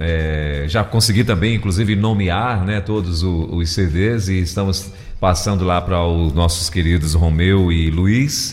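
Audible room echo surrounds a man whose very deep, low voice moves at a fairly slow pace with ordinary pitch variation, very even loudness and hardly any pauses. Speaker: radio host. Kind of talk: radio talk show.

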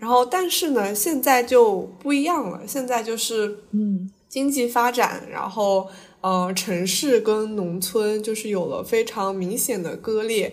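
A woman at a fairly high pitch, very slow in pace, with ordinary pitch variation. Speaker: podcast host, overseas student. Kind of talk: casual chat.

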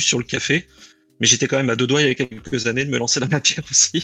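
A man's medium-pitched voice at a fairly quick pace, with ordinary pitch variation, over music in the background. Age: 30s. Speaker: aspiring coffee roaster. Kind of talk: interview. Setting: live stream.

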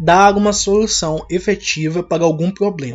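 This man has an unremarkable speaking voice and ordinary pitch variation. He talks at a fairly slow pace. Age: 20s. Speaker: podcaster. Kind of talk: casual monologue.

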